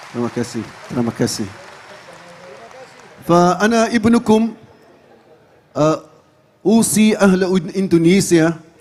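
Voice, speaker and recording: A man talks very slowly at a high pitch, with very wide pitch swings and long, frequent pauses. Background noise is noticeable. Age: 60s. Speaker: Islamic preacher and imam. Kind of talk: sermon to a large gathering. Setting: large religious gathering.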